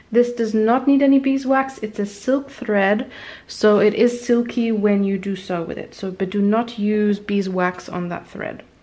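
A woman talks at a fairly slow pace in a dark, mellow tone. Her pitch varies in an ordinary way, and her loudness swings widely. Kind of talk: tutorial. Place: home room.

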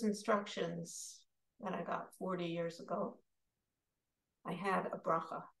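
A woman talks at a fairly slow pace with vocal fry, long, frequent pauses and big swings in loudness. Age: 60s. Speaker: meditation leader and psychotherapist. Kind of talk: guided meditation. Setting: video call.

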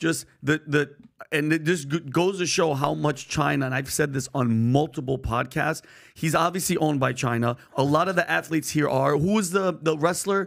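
The speaker has a New York accent. The background is quiet. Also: man, ordinary pitch variation, moderate pace. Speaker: podcast co-host. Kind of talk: casual chat. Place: studio. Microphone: studio mic.

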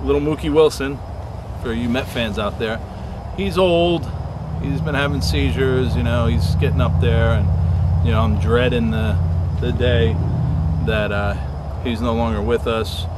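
Over loud background noise, a man talks at a fairly slow pace with long, frequent pauses, the sound dry and without echo. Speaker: explorer vlogger. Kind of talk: casual vlog chat. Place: forest.

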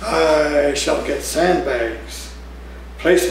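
Audible room echo and light background noise around a man's voice. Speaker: poet. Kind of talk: poetry reading, performed poem with dark menacing narration. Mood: warm, smiling, expressive. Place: cafe. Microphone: camera far.

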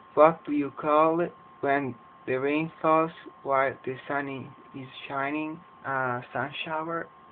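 Through noticeable background noise, a man with fairly high pitch speaks in a monotone, flat intonation at a very slow pace, with long, frequent pauses. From Edmonton, Alberta, Canada. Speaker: English teacher. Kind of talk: casual talk to camera.

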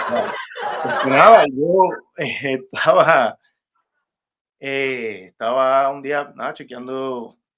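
A man speaks very slowly in a fairly high voice, his loudness swinging widely. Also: ordinary pitch variation. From Puerto Rico, Levittown; Puerto Rico. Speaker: rapper; guest. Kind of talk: interview. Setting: video call. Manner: halting, many repetitions. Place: home room. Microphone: video call.

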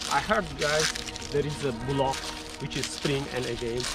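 The sound is dry with no echo. Clear music plays in the background. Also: man. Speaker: travel show host. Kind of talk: travel vlog commentary. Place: forest.

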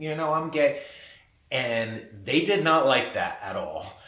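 Audible room echo surrounds a man's voice. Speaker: artist and gallery owner. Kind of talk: personal storytelling monologue. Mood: reflective, candid. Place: home room.

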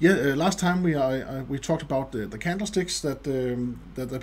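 Speaking with ordinary pitch variation, a man sounds somewhat breathy. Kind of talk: tutorial.

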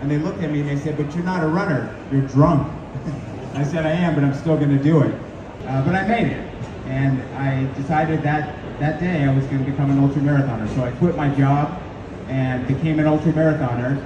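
A man talks fairly quickly with fairly even intonation, with audible room echo and noticeable background noise around him. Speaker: guest. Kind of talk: interview answer. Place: hall. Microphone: camera far.

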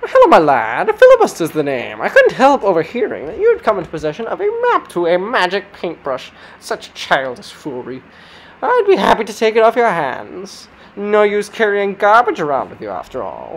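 A female-sounding voice with a fairly high pitch talks at a moderate pace, with big swings in loudness. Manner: smug, condescending, then exasperated.

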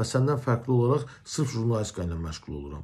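A man's somewhat breathy voice with lively intonation at a fairly quick pace, over a quiet background. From Azerbaijan. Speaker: journalist. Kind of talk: video commentary rebuttal. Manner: confrontational. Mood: aggrieved, confrontational. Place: home room. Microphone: phone near.

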